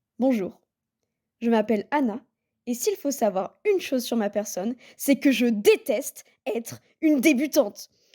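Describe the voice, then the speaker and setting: Speaking at a high pitch with lively intonation, a woman has a dark, mellow tone on a very clean recording with a silent background. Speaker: booktuber. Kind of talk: scripted narration.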